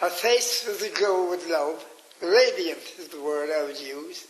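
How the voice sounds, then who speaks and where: The speaker has a Cork accent, with audible room echo and noticeable background noise. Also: man. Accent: Cork Irish. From Ireland, Cork. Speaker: pilgrimage leader. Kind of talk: radio interview storytelling.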